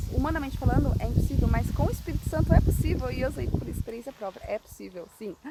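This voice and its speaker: A woman talks at a very fast pace with hardly any pauses, her loudness swinging widely over noticeable background noise. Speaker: evangelist. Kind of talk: informal sermon. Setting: outdoors.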